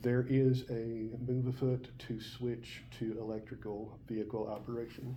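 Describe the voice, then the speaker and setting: A man's medium-pitched, somewhat breathy voice with an American accent, monotone and flat, at a fairly slow pace with hardly any pauses, in audible room echo. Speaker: college biology teacher. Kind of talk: lecture. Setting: classroom. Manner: conversational.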